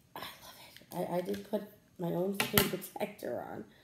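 In a room with audible echo, a woman speaks at a fairly slow pace in a dark, mellow tone. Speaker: lifestyle vlogger. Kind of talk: casual vlog chat. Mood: chatty, mildly annoyed. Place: home room. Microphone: phone near.

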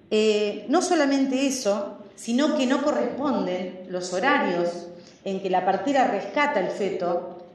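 Audible room echo surrounds a woman who talks at a fairly slow pace. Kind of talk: parliamentary speech. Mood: serious, denouncing. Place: hall. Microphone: podium.

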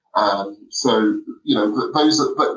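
A man talks in a London accent. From South London. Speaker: barrister. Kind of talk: interview.

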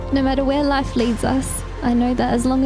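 A woman speaks at a moderate pace with monotone, flat intonation. The sound is dry with no echo, and clear music plays in the background. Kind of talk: reading wedding vows. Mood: emotional, tender. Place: garden. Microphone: handheld.

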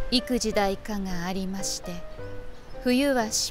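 A woman speaks at a very slow pace with fairly even intonation, the sound dry with no echo and clear music playing in the background. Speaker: announcer and reciter. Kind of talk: poetry reading. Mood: calm, soothing, measured.

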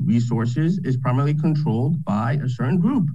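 A man's voice comes across somewhat breathy with a dark, mellow tone. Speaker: cardiologist; panelist. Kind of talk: panel discussion. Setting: video call. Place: office. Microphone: webcam.

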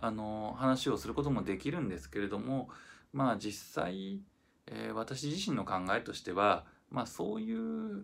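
Relaxed in tone, the speaker goes at a fairly slow pace with lively intonation. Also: man, fairly low pitch for a man. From Japan. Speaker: violinist. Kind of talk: casual reflective talk to camera. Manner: relaxed, hesitant with many fillers. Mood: calm, reflective. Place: empty room. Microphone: phone near.

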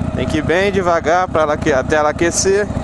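The man's voice sounds dry, with no echo, against noticeable background noise. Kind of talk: casual vlog chat. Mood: relaxed, thankful. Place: motorbike.

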